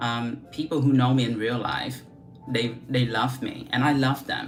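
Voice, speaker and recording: Through noticeable background noise and audible room echo, a woman talks at a moderate pace in a very deep, low pitch. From Vietnam. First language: Vietnamese. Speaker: beauty vlogger. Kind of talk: casual livestream chat. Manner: casual, chatty with many fillers.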